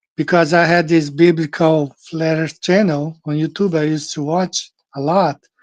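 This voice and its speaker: Against a quiet background, the speaker talks at a moderate pace with a Portuguese accent. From Brazil. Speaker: flat earth show host. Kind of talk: casual monologue. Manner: halting, with many fillers and repetitions.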